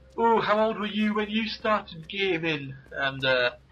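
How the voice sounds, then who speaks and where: A man with an English accent, fairly slow and with lively intonation, over noticeable background noise. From England. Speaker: gaming commentator. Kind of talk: casual chat. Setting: live video game commentary.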